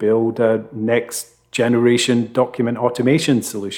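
With a Scottish accent, a man speaks at medium pitch and a fairly slow pace. The recording is very clean, with a silent background. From Scotland, Fife. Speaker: legal tech executive. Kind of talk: interview.

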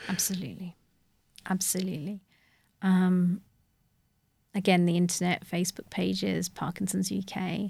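Somewhat breathy and dark, mellow in tone, a woman speaks at medium pitch and a moderate pace in a monotone, flat intonation, with long, frequent pauses on a very clean recording with a silent background. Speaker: dentist. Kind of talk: interview.

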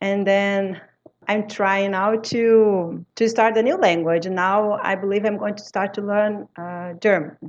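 The woman's intonation stays flat and monotone as she goes at a fairly slow pace. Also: medium pitch for a woman. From Brazil. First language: French. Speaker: language teacher. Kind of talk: interview conversation. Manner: halting non-native phrasing.

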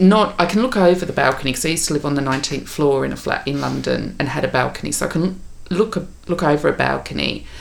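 Talking at a very fast pace, a woman speaks in an Australian accent. There is audible room echo along with noticeable background noise. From Tasmania, Australia. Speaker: podcast co-host. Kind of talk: casual chat; on-location recording. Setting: office.

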